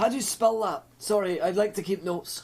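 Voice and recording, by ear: A man puts on a character voice pitched high, with a slightly husky edge, vocal fry, a slightly mellow tone, ordinary pitch variation and a moderate pace.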